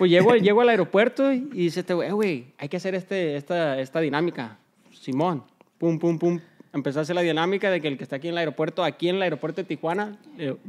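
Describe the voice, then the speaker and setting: The man talks at a very fast pace. His high voice has ordinary pitch variation. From Los Angeles, US. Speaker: business partner; guest. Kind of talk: casual interview; interview answer, casual storytelling. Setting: in a shop. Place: studio. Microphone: studio mic.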